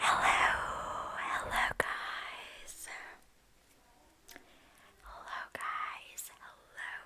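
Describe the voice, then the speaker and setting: Whispered at a very slow pace with long, frequent pauses, the speech sits over noticeable background noise. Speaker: ASMR creator. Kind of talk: casual talk to camera. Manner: soft-spoken, whispered.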